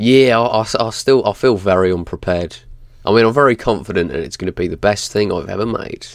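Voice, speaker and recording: In a very clean recording with a silent background, a man uses a normal speaking voice, fairly low in pitch, at a fairly quick pace with ordinary pitch variation. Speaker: podcast co-host. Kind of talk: casual chat. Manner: swearing, casual.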